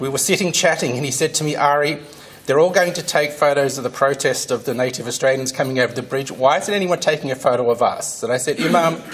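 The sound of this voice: Speaking fast at a medium pitch, a man uses ordinary pitch variation over faint background noise.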